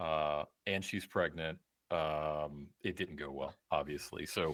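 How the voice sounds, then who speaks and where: A man speaks with an American accent. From US South. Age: 40s. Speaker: podcast guest. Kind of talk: casual interview. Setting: video call. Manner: halting.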